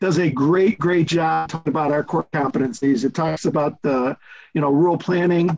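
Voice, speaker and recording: Ordinary pitch variation marks a man's speech at a moderate pace. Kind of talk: meeting remarks. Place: home room. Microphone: video call.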